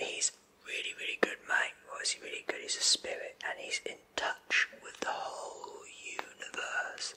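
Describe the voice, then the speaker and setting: A man whispering in a playful tone at a moderate pace. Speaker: presenter. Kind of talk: comedic address to camera. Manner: soft close ASMR voice, playful healer.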